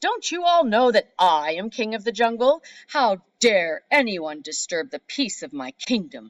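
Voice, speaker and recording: In a put-on character voice, the speaker bellows loudly at a fairly high pitch, with very wide pitch swings, a moderate pace and hardly any pauses. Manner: imperious, angry.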